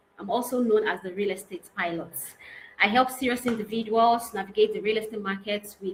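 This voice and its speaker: Her pitch sitting fairly high, a woman uses an ordinary speaking voice and ordinary pitch variation. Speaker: real estate consultant and trainer. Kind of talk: online training lecture.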